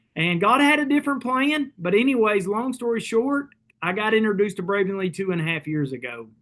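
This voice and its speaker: Talking at a fairly quick pace, a man uses a high voice with lively intonation. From Kentucky. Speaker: network marketing leader. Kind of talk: sales pitch.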